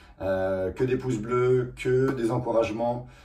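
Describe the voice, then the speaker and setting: With fairly even intonation, a man's medium-pitched voice carries audible room echo. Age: 30s. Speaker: car restoration YouTuber. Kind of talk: casual vlog talk. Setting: rented garage. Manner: hesitant, many fillers.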